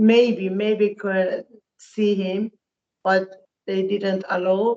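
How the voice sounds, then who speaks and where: A woman speaks very slowly at a medium pitch, her intonation flat and monotone. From Iran. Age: 70s. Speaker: relative of a detained man. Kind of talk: interview testimony. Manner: halting.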